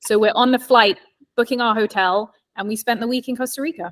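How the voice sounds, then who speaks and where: A woman's fairly high voice at a fairly quick pace, dry and close with no echo. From England (London). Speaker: real estate agent. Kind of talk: casual chat.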